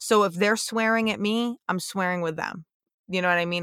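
In a very clean recording with a silent background and a dry, close sound with no echo, a woman speaks at a moderate pace in an animated tone with ordinary pitch variation. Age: 30s. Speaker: police officer and podcast host. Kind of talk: casual monologue.

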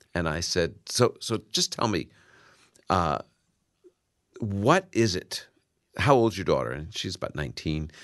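With an American accent and vocal fry, a man speaks at a fairly low pitch and fairly slow pace, using lively intonation and long, frequent pauses over a quiet background. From New York, Brooklyn. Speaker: Bible professor and radio Bible teacher. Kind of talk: radio interview with listener calls. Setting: radio studio.

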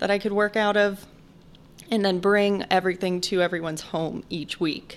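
A woman with a plain, everyday voice speaks at medium pitch and a moderate pace in an American accent. Her pitch variation is ordinary, on a very clean recording with a silent background. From Chicago. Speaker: meal prep business owner and private chef. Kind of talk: casual interview.

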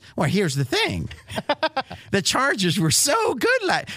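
A put-on character voice, fairly high and whiny, moves at a fairly slow pace.

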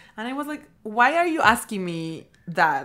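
A woman speaks with a Peruvian accent. The recording is very clean, with a silent background. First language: Spanish. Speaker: MBA student guest. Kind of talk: casual chat.

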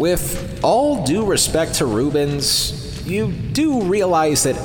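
A man talks at a very slow pace with lively intonation while music plays in the background. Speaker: podcast host. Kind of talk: scripted podcast intro and recap commentary.

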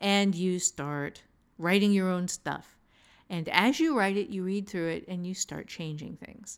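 A woman with a normal speaking voice keeps to a medium pitch, moving at a moderate pace while her pitch varies in an ordinary way. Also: very clean recording, silent background. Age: 50s. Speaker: author and writing teacher. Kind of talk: casual advice discussion.

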